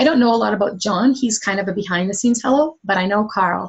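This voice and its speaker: A woman's medium-pitched voice, somewhat breathy, moves with ordinary pitch variation. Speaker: fitness coach. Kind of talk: webinar presentation. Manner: fast; animated.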